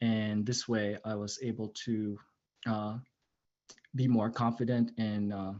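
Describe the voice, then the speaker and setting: A man with a non-native accent speaks very slowly, with long, frequent pauses. His fairly low pitch stays monotone and flat. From immigrant to the US, non-US upbringing. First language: not English. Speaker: airman. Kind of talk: personal introduction at virtual panel. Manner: halting, many fillers.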